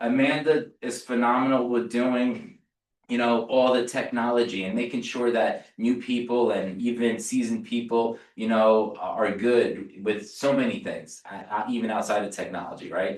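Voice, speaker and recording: With a New Jersey accent, a man speaks in a monotone, flat way with hardly any pauses. Room echo can be heard. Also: medium pitch for a man, moderate pace. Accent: New Jersey American. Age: 40s. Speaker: real estate agent. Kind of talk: sales training talk. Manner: casual, repetitive stammering.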